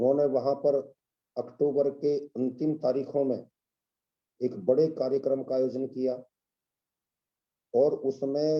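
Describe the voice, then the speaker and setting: A man talks in a medium pitch. His intonation stays monotone and flat. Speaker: webinar speaker on history. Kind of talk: lecture. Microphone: too quiet.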